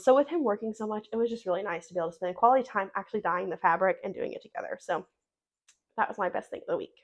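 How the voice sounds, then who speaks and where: A woman uses a raspy, put-on character voice at a fairly high pitch. She talks at a very fast pace with lively intonation. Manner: talking fast.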